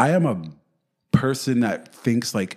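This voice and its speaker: A man with a New York accent talks at a fairly slow pace. His pitch variation is ordinary, and the recording is very clean with a silent background. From New York City. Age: 30s. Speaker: real estate agent. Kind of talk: interview. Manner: animated.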